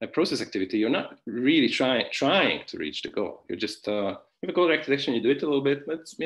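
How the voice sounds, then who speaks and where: With a Hungarian accent, a man with a fairly high pitch rattles along at a very fast pace, hardly pausing, his intonation lively. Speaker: philosophy professor. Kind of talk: academic conference talk. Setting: online conference. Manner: hesitant, many fillers and restarts; informal, conversational.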